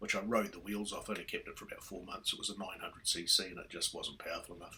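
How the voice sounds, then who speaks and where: A man speaks with a New Zealand accent. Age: 60s. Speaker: motorcycle vlogger. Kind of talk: casual vlog monologue. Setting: riding a motorcycle outdoors. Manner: hesitant, many fillers.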